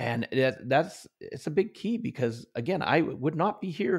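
Using vocal fry and very wide pitch swings, a man speaks in a very clean recording with a silent background. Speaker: author and motivational trainer. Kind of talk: interview. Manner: high energy.

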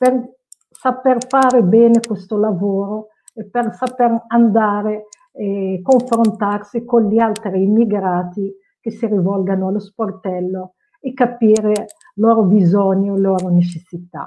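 A woman speaks fairly slowly in a fairly high voice with fairly even intonation. It is a normal speaking voice. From Morocco (Casablanca). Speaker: cultural mediator. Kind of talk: panel discussion.

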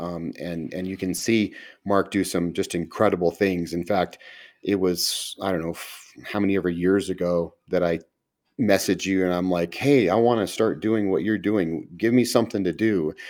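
With an American accent, a man speaks in a very deep, low voice at a moderate pace with fairly even intonation, on a very clean recording with a silent background. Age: 50s. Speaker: podcast host and pastor. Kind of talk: casual interview.

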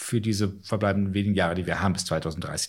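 A somewhat breathy man at a fairly quick pace. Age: 40s. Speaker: climate scientist. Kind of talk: interview.

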